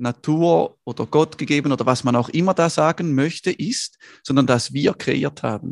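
A man with an ordinary speaking voice talks fairly high, with ordinary pitch variation. The recording is very clean with a silent background, and the sound is dry and close with no echo. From northern Switzerland, Schaffhausen. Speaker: photographer and entrepreneur. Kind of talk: interview conversation.

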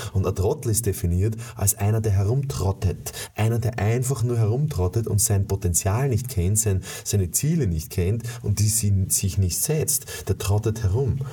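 Noticeable background noise surrounds a man speaking at a fairly low pitch with very even loudness. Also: ordinary pitch variation, moderate pace. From USA. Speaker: sales trainer. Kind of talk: motivational monologue. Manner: animated; halting with repetitions.

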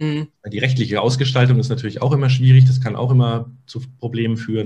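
Speaking at a fairly quick pace, a man has a somewhat breathy voice at a medium pitch with ordinary pitch variation. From Munich, Bavaria. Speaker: SEO consultant. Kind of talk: casual interview. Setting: video podcast.

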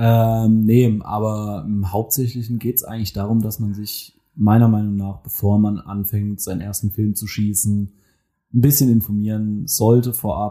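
Heard on a very clean recording with a silent background, a man's fairly low, dark, mellow voice moves at a moderate pace with fairly even intonation. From Mannheim, Germany. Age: 20s. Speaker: photographer. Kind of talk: casual chat. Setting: studio.

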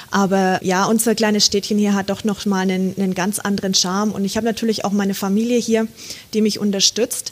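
Monotone, flat intonation at a fairly quick pace amid noticeable background noise. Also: woman, medium pitch for a woman. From Franconia, Germany. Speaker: photographer. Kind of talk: casual interview.

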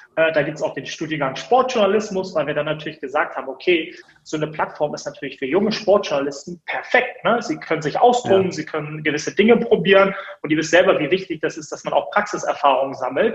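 A man's high-pitched voice at a very fast pace with lively intonation. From Hamburg, northern Germany. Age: 30s. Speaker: media entrepreneur. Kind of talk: interview. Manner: many filler sounds (äh, ähm).

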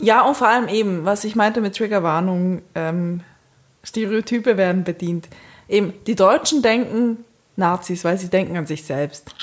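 An ordinary speaking voice: a woman at a medium pitch talks at a moderate pace with ordinary pitch variation. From Switzerland. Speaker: podcast co-host. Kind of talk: casual chat.

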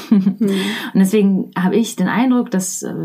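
Against noticeable background noise, a woman's voice sits at a medium pitch. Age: 30s. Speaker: leadership trainer and coach. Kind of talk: interview.

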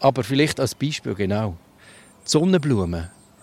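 The man's pitch swings very widely, and the sound is dry and close with no echo. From Switzerland, Lucerne hinterland. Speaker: botanist podcast co-host. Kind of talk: casual educational chat. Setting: outdoors in a garden.

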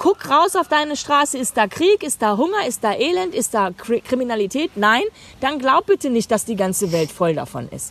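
An animated woman speaks in a high pitch with very wide pitch swings. The sound is dry and close, with no echo. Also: moderate pace. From Germany. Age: 50s. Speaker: life coach and podcast host. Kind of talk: casual chat. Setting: outdoors on a meadow.

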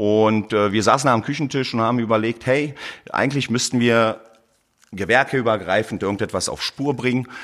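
A man's ordinary speaking voice at a medium pitch and moderate pace, with fairly even intonation, in a very clean recording with a silent background. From Berlin, Germany. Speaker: plumber and heating installer. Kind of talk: interview. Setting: studio.

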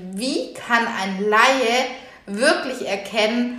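A woman at a very slow pace with ordinary pitch variation, plus noticeable background noise and audible room echo. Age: 30s. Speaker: podcast host and workshop trainer. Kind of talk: solo podcast monologue.

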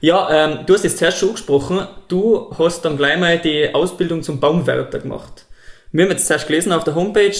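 There is noticeable background noise as a man with a high pitch and a Tyrolean accent speaks at a moderate pace with ordinary pitch variation. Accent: Tyrolean Austrian German. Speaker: podcast host. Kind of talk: interview.

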